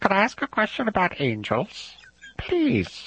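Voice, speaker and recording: A put-on character voice at middle pitch and moderate pace. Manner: villainous, old.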